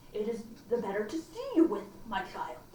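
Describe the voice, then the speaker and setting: Putting on a gruff character voice, a woman speaks at a moderate pace in a fairly high pitch, with light background noise. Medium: read story. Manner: sly.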